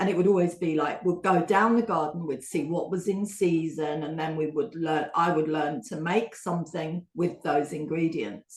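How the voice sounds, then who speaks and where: This voice has a slight London accent and ordinary pitch variation. The pace is moderate. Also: woman. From England. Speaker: baking competition contestant. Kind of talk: casual interview chat.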